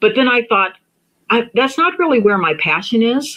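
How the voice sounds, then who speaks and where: Lively intonation runs through this bright, sharp tone. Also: woman. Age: 60s. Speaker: true crime commentary YouTuber. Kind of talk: live stream chat with viewers. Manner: halting, many fillers and restarts.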